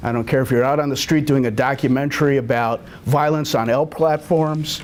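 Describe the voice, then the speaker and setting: A man speaks at a moderate pace in a fairly high pitch with ordinary pitch variation. Room echo is audible and background noise noticeable. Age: 60s. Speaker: TV cinematographer and producer giving a talk. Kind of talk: lecture.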